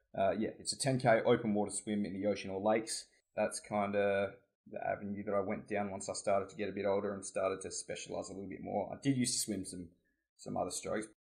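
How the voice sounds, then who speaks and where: A very fast-talking man in an Australian accent. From Australia (Adelaide, South Australia). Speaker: competitive swimmer and student. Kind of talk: casual chat.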